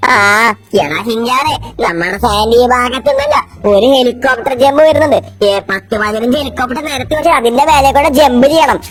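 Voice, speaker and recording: Over music in the background, a put-on character voice, female-sounding and high-pitched, speaks. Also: moderate pace. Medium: machinima.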